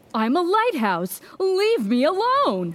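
In a put-on character voice, a woman speaks slowly at an extremely high pitch with very wide pitch swings.

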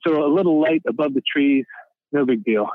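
A man talks at a fairly quick pace in a plain, everyday voice. His pitch is fairly high, with ordinary variation. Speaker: witness sharing a sighting. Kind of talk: casual interview chat.

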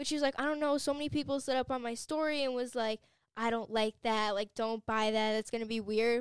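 In an ordinary speaking voice, a woman with a fairly high pitch talks at a fairly quick pace with fairly even intonation, the sound dry and close with no echo. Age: young. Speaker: cosmetology student. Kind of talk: casual chat.

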